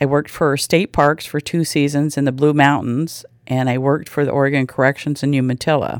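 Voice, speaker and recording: At a moderate pace, a woman speaks with a very deep, low pitch, recorded dry and close with no echo against a very clean, silent background. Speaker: chamber of commerce assistant director. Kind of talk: interview soundbite.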